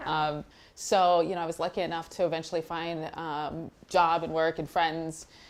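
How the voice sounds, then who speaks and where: A woman with an American accent, fairly low pitch, and a flat, monotone delivery. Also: moderate pace. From Texas, USA. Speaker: blogger and content editor. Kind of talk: interview answer.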